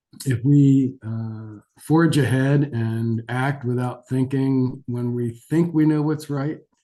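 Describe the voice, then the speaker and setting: A very slow man's voice at medium pitch, dark and mellow in tone, with ordinary pitch variation. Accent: American. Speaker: geriatric physician. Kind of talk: lecture. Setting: webinar. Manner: hesitant, many fillers.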